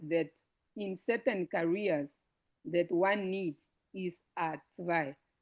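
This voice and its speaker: A woman's fairly low-pitched voice at a very slow pace, with ordinary pitch variation. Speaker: information session presenter. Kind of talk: online info session. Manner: halting; quiet. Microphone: too quiet.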